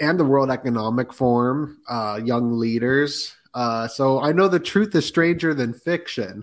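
A man speaks in a normal speaking voice at medium pitch, with ordinary pitch variation and a fairly slow pace. He takes hardly any pauses, and the recording is very clean with a silent background. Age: 30s. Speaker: podcaster guest. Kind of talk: casual chat.

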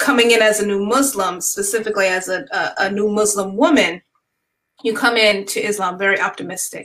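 A woman with an American accent and a plain, everyday voice, medium in pitch, ordinary in pitch variation, at a fairly quick pace. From New York. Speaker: wedding planner and writer. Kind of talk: panel discussion.

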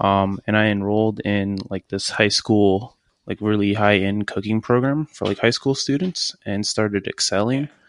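A man's unremarkable speaking voice, fairly low in pitch, at a moderate pace with hardly any pauses and fairly even intonation, dry and close with no echo against a quiet background. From Virginia. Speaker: chef and cafe owner. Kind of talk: interview. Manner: casual, filler-heavy.

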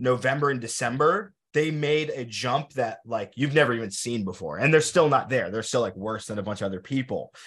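Pitch moves in an ordinary way across a normal speaking voice. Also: man. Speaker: podcast host and drum corps designer. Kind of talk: casual interview.

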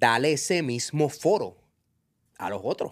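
The recording is very clean, with a silent background. A man speaks slowly-ish, at a fairly slow pace, with a fairly high pitch. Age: 40s. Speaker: reggaeton industry figure. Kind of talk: casual interview. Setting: studio. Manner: animated.

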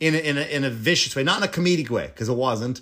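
A man with an Irish accent and lively intonation. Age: 40s. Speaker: comedian and podcast host. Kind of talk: casual monologue. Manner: animated.

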